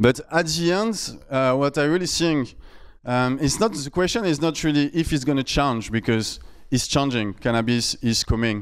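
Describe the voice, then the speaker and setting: Speaking with a strong French accent, a man uses lively intonation and a fairly high pitch at a moderate pace, on a very clean recording with a silent background. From France. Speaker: startup founder. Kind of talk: conference talk. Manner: loud.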